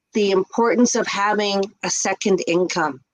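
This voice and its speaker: A woman with a Canadian accent has a plain, everyday voice and speaks at a fairly slow pace with ordinary pitch variation, recorded with a dry, close sound with no echo. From Canada, English-speaking Quebec near Montreal. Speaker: ESL teacher and online business owner. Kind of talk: casual interview on a livestream. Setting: live video stream.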